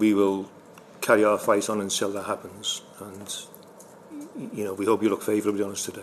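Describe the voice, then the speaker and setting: In a Liverpool accent, a man speaks fairly quickly at a fairly low pitch with monotone, flat intonation, big swings in loudness, long and frequent pauses, and noticeable background noise. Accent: Scouse (Liverpool). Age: 70s. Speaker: bereaved brother and campaigner. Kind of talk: testimony. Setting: parliamentary committee hearing. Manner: halting.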